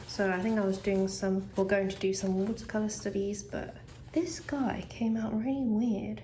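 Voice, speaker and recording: A woman with ordinary pitch variation over noticeable background noise. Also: medium pitch for a woman, moderate pace. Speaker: artist. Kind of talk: casual chatty sketchbook tour.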